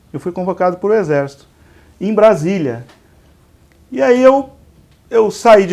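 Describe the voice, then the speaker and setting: Here a man talks with lively intonation in a Minas Gerais accent. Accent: somewhat mineiro (Minas Gerais). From interior of São Paulo state (Igarapava, Minas Gerais border). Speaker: pharmacy industry executive, civil engineer. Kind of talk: interview. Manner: halting, repeats words.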